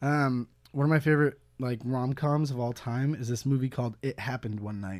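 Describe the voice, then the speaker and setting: On a very clean recording with a silent background, a man speaks in an ordinary speaking voice with a General American accent. His pitch is medium, his intonation fairly even and his pace fairly quick. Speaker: guest, former college radio host. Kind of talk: casual comedy chat. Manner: jokey, playful.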